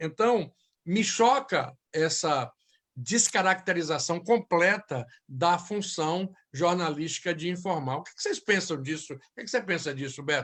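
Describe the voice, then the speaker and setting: Against a quiet background, a man with a high pitch speaks at a fairly slow pace, his intonation lively and his loudness swinging widely. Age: 60s. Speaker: journalist and show host. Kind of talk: panel debate.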